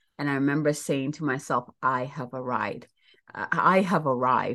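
Against a quiet background, a woman with a very deep, low voice talks at a moderate pace with ordinary pitch variation. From Ghana. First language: Ghanaian language. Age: 40s. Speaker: spiritual mentor and podcast host. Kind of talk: casual solo monologue.

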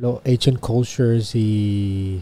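In a Puerto Rican accent, a man speaks at a medium pitch with a dark, mellow tone and fairly even intonation. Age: 20s. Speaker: podcast host. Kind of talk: casual interview chat; show intro and outro.

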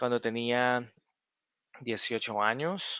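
A man's very slow speech at medium pitch with a Salvadoran accent, bright and sharp in tone, ordinary pitch variation, quiet background. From El Salvador. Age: 30s. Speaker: language tutor and podcaster. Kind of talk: casual self-introduction to learners.

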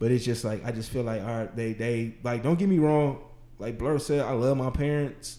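A man talks at a moderate pace with a medium pitch. His tone is dark and mellow, and his pitch varies in an ordinary way. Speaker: podcast host. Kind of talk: casual chat. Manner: casual, slangy.

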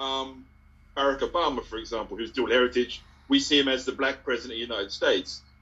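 With ordinary pitch variation, a man with a fairly high pitch talks at a very fast pace. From Ipswich, Suffolk, England. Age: 40s. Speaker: community speaker on dual heritage. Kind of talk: casual chat. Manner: hesitant, many fillers.

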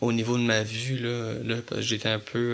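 His intonation is monotone and flat. This man speaks at a medium pitch. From Quebec, Montreal area. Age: 20s. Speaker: visually impaired young man. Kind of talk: interview. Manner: hesitant, many fillers.

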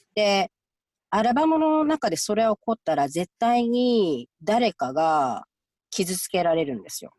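Speaking at a fairly slow pace, a woman of medium pitch shows very wide pitch swings and big swings in loudness. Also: dry, close sound with no echo. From Japan, Gifu. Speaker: clinical counselor. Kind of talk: interview.

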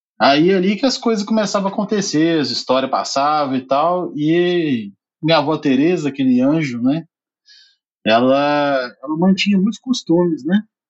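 In an ordinary speaking voice, a man talks at a moderate pace with very even loudness, a fairly high pitch and lively intonation. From southern Minas Gerais, Brazil (Alfenas). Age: 30s. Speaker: podcast team member. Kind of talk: casual chat.

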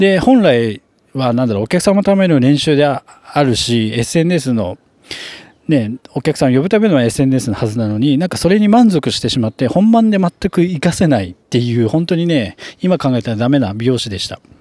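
A man with a dark, mellow tone and fairly high pitch uses very wide pitch swings at a moderate pace, in a dry, close sound with no echo. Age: 30s. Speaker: hairdresser and salon manager. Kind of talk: solo podcast monologue. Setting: at work in the salon. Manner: casual with frequent fillers.

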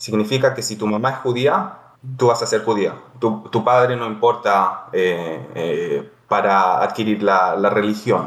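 Medium-pitched male speech at a fairly slow pace with ordinary pitch variation. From Chile and Israel. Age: 30s. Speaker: podcast guest, former soldier. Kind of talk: casual chat. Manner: halting.

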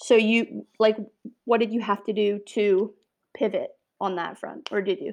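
Long, frequent pauses from a woman with an Ontario accent, fairly high pitch and fairly even intonation. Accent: Canadian (Ontario). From Niagara region, Ontario, Canada. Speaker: podcast host, food business co-founder. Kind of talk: casual interview. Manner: hesitant, many fillers.

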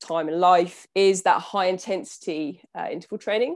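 A woman with a southern English accent and lively intonation, in a very clean recording with a silent background. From southern England, Southampton. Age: 30s. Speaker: nutritionist and endurance athlete. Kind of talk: casual interview.

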